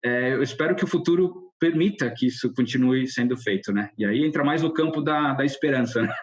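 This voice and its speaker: A man speaks at a fairly quick pace with hardly any pauses, his fairly high voice showing ordinary pitch variation and very even loudness. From Brazil. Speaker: car designer. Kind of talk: podcast interview. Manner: casual, halting with false starts.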